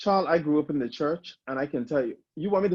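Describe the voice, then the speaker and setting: A man's fairly high voice, very fast and with lively intonation, in a dry, close sound with no echo. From Bahamas. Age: 30s. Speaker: drag queen. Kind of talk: interview.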